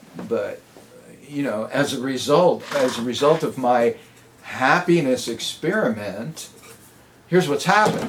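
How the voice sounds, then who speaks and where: Amid noticeable background noise, a man with a fairly high pitch speaks at a fairly slow pace, his intonation lively and his pauses long and frequent. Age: 70s. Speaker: motivational speaker. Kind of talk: testimony.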